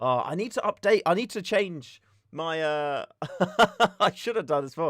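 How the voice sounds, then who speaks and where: On a very clean recording with a silent background, a man with a British accent and a fairly high pitch speaks at a moderate pace with very wide pitch swings. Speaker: airsoft streamer. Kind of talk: casual live stream chat. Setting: live stream. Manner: relaxed, chatty.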